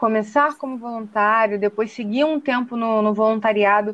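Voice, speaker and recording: The voice is a plain, everyday voice, moving at a moderate pace. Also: woman. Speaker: podcast co-host, journalism student. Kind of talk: interview.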